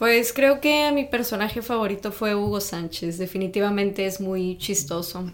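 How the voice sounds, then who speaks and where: A woman has an unremarkable speaking voice of medium pitch with ordinary pitch variation. She keeps a moderate pace with hardly any pauses. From Mexico, Tamaulipas (north). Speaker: podcast co-guest, native Spanish speaker. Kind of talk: casual chat.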